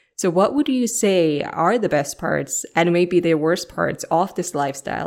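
The speaker is a woman with a Finnish accent. She talks at a moderate pace. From Finland. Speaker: podcast host. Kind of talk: interview.

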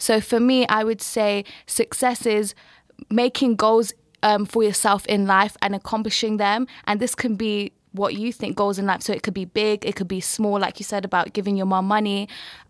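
Woman at medium pitch, monotone and flat, moderate pace, in a dry, close sound with no echo. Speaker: podcast co-host. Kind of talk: interview conversation.

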